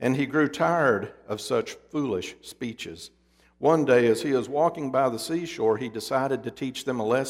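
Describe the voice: Ordinary pitch variation during plain reading aloud.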